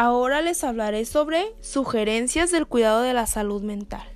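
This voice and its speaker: A woman has a high pitch. Her pace is fairly slow. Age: 20s. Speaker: psychologist. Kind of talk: solo podcast talk.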